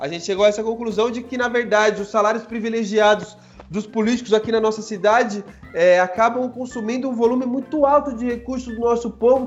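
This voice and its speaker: Over noticeable background noise, a man with an extremely high pitch and ordinary pitch variation speaks at a fairly quick pace. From Brazil, Guarulhos (São Paulo). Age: 30s. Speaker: political candidate for city council. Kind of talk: podcast interview. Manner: casual, slangy.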